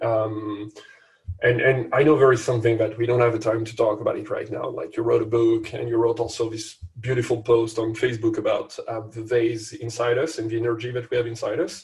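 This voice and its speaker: A man with a French accent, a medium pitch and a monotone, flat intonation at a fairly quick pace. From France. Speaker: podcast co-host. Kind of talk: casual chat.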